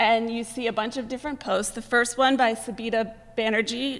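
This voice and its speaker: In an American accent, a woman speaks at a moderate pace with a fairly high pitch and monotone, flat intonation. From Greater Boston. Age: 30s. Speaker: journalism graduate student. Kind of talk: presentation to an audience. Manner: frequent filler 'um'.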